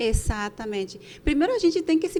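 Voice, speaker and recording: Speaking at a fairly slow pace with a Bolivian accent, a woman swings her pitch very widely. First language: Spanish (speaking Portuguese). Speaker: podcast co-host, entrepreneur. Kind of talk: casual podcast chat.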